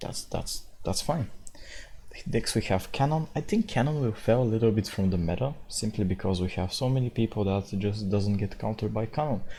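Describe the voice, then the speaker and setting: A man with a fairly low, somewhat breathy voice and a dark, mellow tone speaks at a moderate pace with ordinary pitch variation. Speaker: gaming video creator. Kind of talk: casual talk about a video game.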